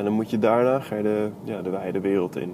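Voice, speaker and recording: Fairly even intonation from a man with a fairly low pitch, delivered at a moderate pace. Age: 20s. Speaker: podcaster. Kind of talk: solo monologue. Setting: in a car. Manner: monotone; hesitant.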